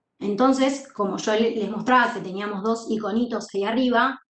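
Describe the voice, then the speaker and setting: A woman at a fairly high pitch and moderate pace has an unremarkable speaking voice with fairly even intonation. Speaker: university law teacher and court clerk. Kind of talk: lecture.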